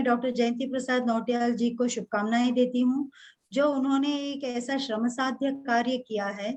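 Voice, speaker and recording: A woman speaks with a Kannada accent in a high voice. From Karnataka, India; grew up moving around India. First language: Kannada (speaking Hindi). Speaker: Hindi professor. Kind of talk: formal speech at a webinar. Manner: formal, with some hesitations.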